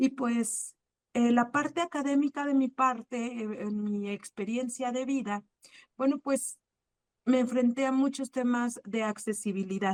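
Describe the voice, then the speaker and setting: A woman speaks at a high pitch and a fairly slow pace, with fairly even intonation. The sound is dry and close, with no echo. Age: 30s. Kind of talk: personal testimony in a panel talk. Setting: online video talk.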